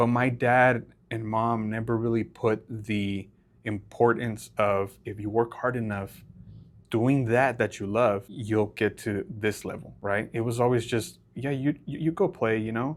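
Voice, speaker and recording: Using a Spanish accent, a man talks at a medium pitch and a fairly slow pace with fairly even intonation. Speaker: podcast co-host. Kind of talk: casual chat.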